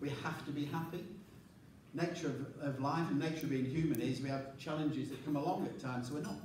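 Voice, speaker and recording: A fairly high-pitched man talks very fast, with audible room echo and noticeable background noise. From England. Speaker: leadership coach and presenter. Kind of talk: conference presentation. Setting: conference stage with large audience, microphone.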